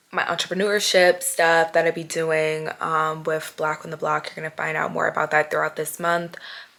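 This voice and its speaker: Over noticeable background noise, a woman talks at a fairly low pitch and moderate pace in monotone, flat intonation with hardly any pauses. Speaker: vlogger and podcaster. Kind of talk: casual vlog talk to camera. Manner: stumbling over words.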